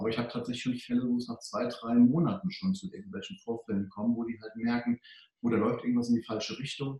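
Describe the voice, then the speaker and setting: A man delivers his words very fast, his pitch varying in an ordinary way. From Germany, Hunsrück (Rhineland-Palatinate). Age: 40s. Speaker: financial advisor for doctors. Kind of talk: interview.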